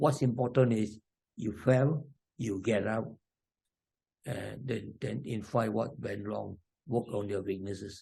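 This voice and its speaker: At a fairly slow pace, a man with a medium-pitched, dark, mellow voice speaks with vocal fry and ordinary pitch variation. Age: 80s+. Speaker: elderly triathlete. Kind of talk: interview.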